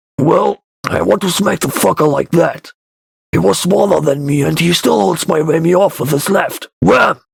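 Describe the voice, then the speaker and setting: A put-on character voice from a man, raspy and at a moderate pace. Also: fairly high pitch for a man, lively intonation. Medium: read story. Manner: crude, blustering.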